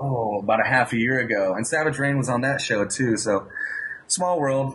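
Noticeable background noise behind a man at a medium pitch, fairly quick pace and ordinary pitch variation. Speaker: guitar teacher. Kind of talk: interview.

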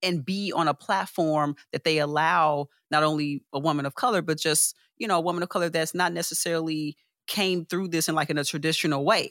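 A woman with an American accent speaks at a fairly quick pace in a very deep, low pitch, her intonation fairly even. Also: dry, close sound with no echo, very clean recording, silent background. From Chicago, US Midwest. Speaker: UX architect and creative artist. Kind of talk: casual interview.

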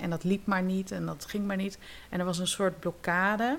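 A woman talks at a medium pitch with fairly even intonation. She has an ordinary speaking voice. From Netherlands, Zeeland. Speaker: yoga teacher and drama therapist. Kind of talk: casual interview.

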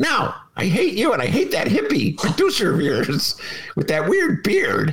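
Putting on a character voice with a grumpy tone, a man speaks at a moderate pace with a high pitch. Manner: grumpy, hostile.

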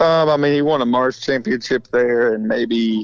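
A man with an American accent, medium pitch, and an ordinary speaking voice. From Republic, Missouri. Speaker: dirt track racing driver. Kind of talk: casual interview. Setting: phone call. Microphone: breaking up on phone line.

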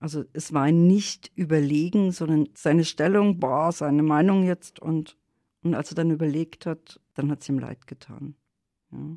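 Very deep, low-pitched woman with a dark, mellow tone, fairly slow and fairly even, dry and close with no echo on a very clean recording with a silent background. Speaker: nurse and health educator. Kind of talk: casual chat.

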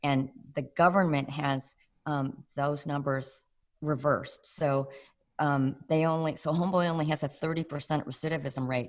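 With an American accent, a woman speaks at a very deep, low pitch with ordinary pitch variation. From Chicago. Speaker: voice actor. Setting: video call.

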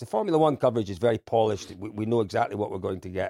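With a Scottish accent, a man speaks in a dark, mellow tone with lively intonation, in a very clean recording with a silent background and a dry, close sound with no echo. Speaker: rally commentator. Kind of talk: casual chat.

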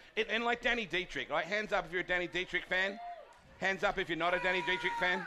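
The voice is raised and projected, moving at a very fast pace with very even loudness. Intonation stays fairly even over noticeable background noise. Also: man, high pitch for a man. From Australia. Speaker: race announcer. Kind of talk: casual interview. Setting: stage with audience.

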